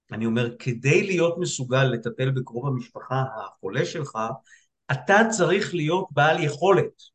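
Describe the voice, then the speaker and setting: A man's fairly high, somewhat breathy voice with lively intonation at a fairly slow pace. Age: 60s. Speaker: psychiatrist. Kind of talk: casual chat. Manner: halting.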